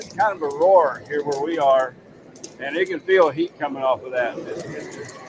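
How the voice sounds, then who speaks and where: A man's fairly high voice, fairly slow, with ordinary pitch variation and noticeable background noise. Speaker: livestream host. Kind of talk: live cooking stream. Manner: loud.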